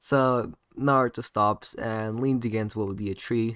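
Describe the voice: Someone does plain reading aloud with a quiet background behind.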